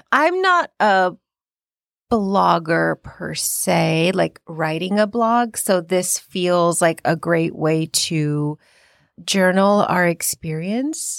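The speech moves very slowly in a very clean recording with a silent background and a dry, close sound with no echo. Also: woman, fairly low pitch for a woman, ordinary pitch variation. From India. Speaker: therapist and podcast co-host. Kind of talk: casual chat.

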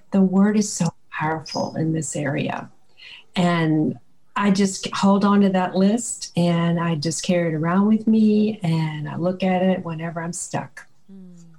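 Over noticeable background noise, a woman with an American accent speaks at a fairly low pitch and a fairly slow pace, her calm, soothing tone carrying fairly even intonation and big swings in loudness. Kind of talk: faith-based interview with scripture.

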